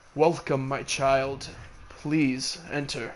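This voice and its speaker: A man's booming, put-on character voice at a medium pitch, with monotone, flat intonation. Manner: welcoming, commanding.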